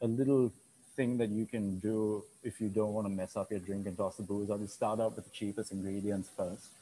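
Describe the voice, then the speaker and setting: There is light background noise as a man speaks fairly quickly at a fairly low pitch. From Sri Lanka. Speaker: bartender and restaurant owner. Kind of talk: tutorial. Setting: video call. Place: bar.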